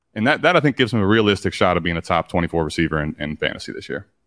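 Recorded very cleanly against a silent background with a dry, close sound and no echo, a man speaks with ordinary pitch variation. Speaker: fantasy football analyst. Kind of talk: casual chat.

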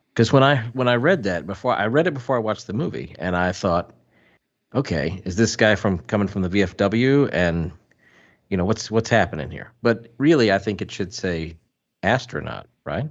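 Lively in intonation, a man with a Southern US accent and a fairly low pitch speaks at a moderate pace. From US South. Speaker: podcast co-host, film reviewer. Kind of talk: quiz hosting; casual chat.

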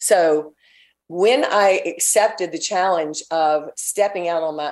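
A woman with an ordinary speaking voice speaks in a fairly low pitch with fairly even intonation. The background is quiet. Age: 60s. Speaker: fitness entrepreneur. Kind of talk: interview.

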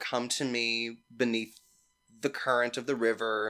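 The speaker is a man with a Mississippi accent. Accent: Southern US (Mississippi). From US South, Mississippi (Petal, near Hattiesburg). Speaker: actor and singer. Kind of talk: casual storytelling chat.

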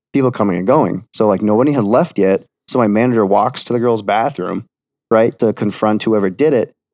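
A man with a fairly low pitch speaks fairly quickly with ordinary pitch variation and very even loudness, an ordinary speaking voice. The sound is dry and close with no echo, over a quiet background. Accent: American. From Wisconsin. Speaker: podcast guest sharing paranormal experiences. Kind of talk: casual chat.

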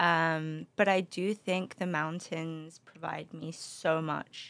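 A woman with a London accent speaks very slowly in a fairly low pitch. Her intonation is fairly even, and the recording is very clean with a silent background. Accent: British (London). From London, England (also Spain). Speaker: beverage company founder. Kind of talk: interview. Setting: studio.

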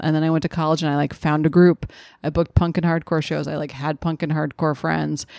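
A woman with a very deep, low pitch talks at a very fast pace in a flat monotone, recorded dry and close with no echo and a silent, very clean background. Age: 30s. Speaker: comedian. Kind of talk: casual chat.

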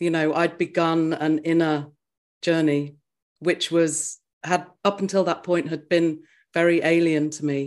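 A woman with an English accent speaks at a fairly low pitch and a fairly slow pace. Her intonation is monotone and flat against a quiet background. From England. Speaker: spiritual teacher. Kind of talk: interview. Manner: soothing.

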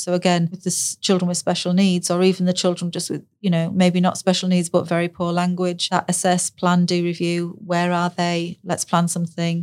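A woman with a northern English accent talks at a moderate pace in a fairly low, monotone, flat voice. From northern England. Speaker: speech and language therapist. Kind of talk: casual interview chat.

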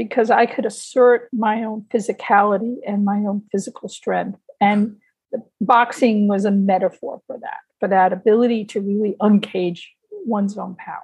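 Somewhat breathy and fairly high in pitch, a woman speaks at a moderate pace with fairly even intonation and big swings in loudness. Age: 60s. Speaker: retired civil servant, amateur boxer and writer. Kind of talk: interview.

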